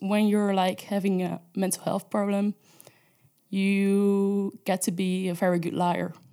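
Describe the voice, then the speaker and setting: In a very clean recording with a silent background, a woman speaks with a Dutch accent at a very slow pace. Her voice has a medium pitch, a dark, mellow tone and a monotone, flat intonation. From Netherlands. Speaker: intern sharing personal story. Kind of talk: testimony.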